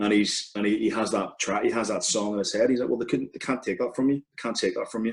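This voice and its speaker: A man with a Belfast accent talks at a very fast pace with hardly any pauses. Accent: Belfast Northern Irish. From Northern Ireland, Belfast. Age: 30s. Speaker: football podcast co-presenter. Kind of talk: interview conversation. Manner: hesitant, many fillers.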